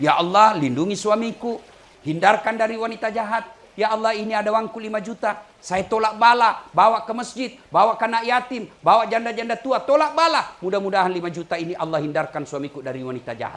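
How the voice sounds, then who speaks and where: Against noticeable background noise, a man with a South Sulawesi accent talks at a very fast pace and a high pitch. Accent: Bugis-accented Indonesian. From Makassar, South Sulawesi. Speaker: Islamic preacher. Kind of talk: humorous religious sermon. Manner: humorous.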